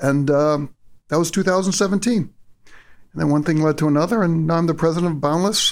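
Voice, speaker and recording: A man with a New England accent speaks at a high pitch and a fairly quick pace, with ordinary pitch variation. His loudness is very even, and the recording is very clean with a silent background. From Massachusetts. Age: 50s. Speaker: solar company executive. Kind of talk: casual chat. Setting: office.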